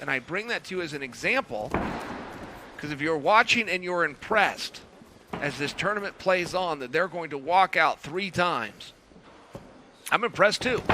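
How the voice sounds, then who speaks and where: A man speaks at a moderate pace with a fairly high pitch and lively intonation, over noticeable background noise. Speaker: grappling commentator. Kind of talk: live commentary.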